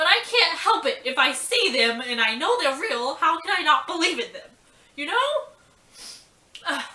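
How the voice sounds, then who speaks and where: A woman uses a raised, projected voice at an extremely high pitch, with very wide pitch swings and a moderate pace broken by long, frequent pauses. Noticeable background noise and audible room echo fill the recording. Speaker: vlogger. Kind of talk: casual storytelling vlog. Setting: at home. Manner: animated.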